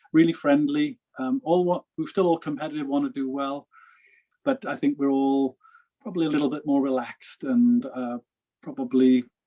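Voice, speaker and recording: With a Welsh accent, a man speaks at a moderate pace with lively intonation. The sound is dry and close, with no echo. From Wales. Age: 50s. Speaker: professional golfer. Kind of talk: interview.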